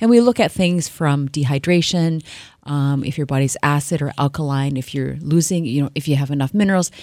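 A woman's very deep, low voice carries a dark, mellow tone. She talks at a fairly quick pace with ordinary pitch variation. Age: 50s. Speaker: nutritionist. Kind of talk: radio interview.

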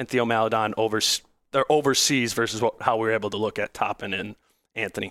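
In an ordinary speaking voice with an American accent, a man talks at a fairly quick pace and medium pitch with fairly even intonation. The recording is very clean, with a silent background and a dry, close sound with no echo. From Minnesota, Hopkins. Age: 30s. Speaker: podcast host and sports writer. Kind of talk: casual chat.

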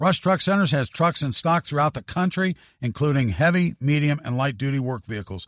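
A man with an unremarkable speaking voice, fairly high in pitch, at a fairly quick pace with lively intonation, against a quiet background in a dry, close sound with no echo. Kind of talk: casual banter on a sports podcast.

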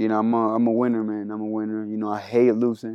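A man with a Spanish accent speaks at a very fast pace in a monotone, flat intonation. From Panama. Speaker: college basketball player. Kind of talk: interview.

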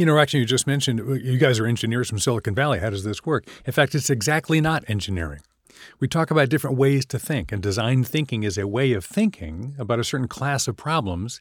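This man talks at a very fast pace with lively intonation, heard in a dry, close sound with no echo on a very clean recording with a silent background. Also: medium pitch for a man. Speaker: author and design educator. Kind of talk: interview.

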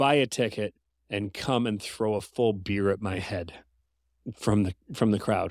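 A man with a Canadian accent and a plain, everyday voice, a fairly low pitch and a fairly slow pace, in a very clean recording with a silent background. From Canada. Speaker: musician and podcast guest. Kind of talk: casual chat.

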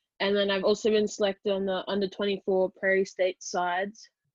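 A woman with an Australian accent, medium pitch, moderate pace and monotone, flat intonation. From Australia, Brisbane. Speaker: college rugby player. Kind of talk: casual interview.

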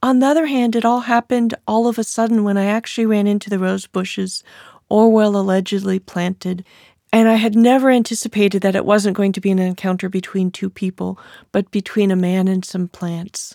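A woman with an American accent speaks in a calm, dark, mellow tone at a medium pitch and fairly quick pace, her intonation fairly even, on a very clean, dry and close recording with a silent background and no echo. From California. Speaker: writer and historian. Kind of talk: author interview monologue.

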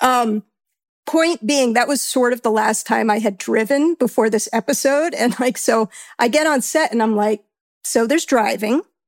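In an American accent, the speaker moves at a fairly quick pace with vocal fry and ordinary pitch variation. The sound is dry and close with no echo, in a very clean recording over a silent background. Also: woman. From New York. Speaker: actor and sound editor. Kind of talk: casual interview.

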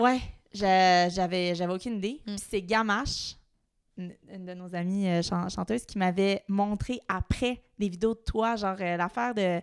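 A woman with a Quebec accent, medium pitch, fairly even intonation and big swings in loudness. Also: fairly slow pace. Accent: Québécois French. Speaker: drummer. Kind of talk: casual chat.

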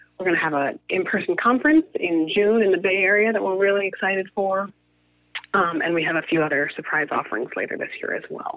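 A woman uses a plain, everyday voice at a medium pitch. She moves at a fairly quick pace with lively intonation. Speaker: media company co-founder. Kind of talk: interview.

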